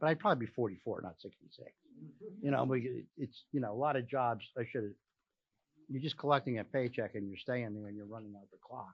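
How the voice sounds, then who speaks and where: A man talks at a fairly quick pace in a normal speaking voice, with a medium pitch and ordinary pitch variation. His loudness swings widely. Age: 60s. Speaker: workshop participant, workforce professional. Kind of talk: audience comment.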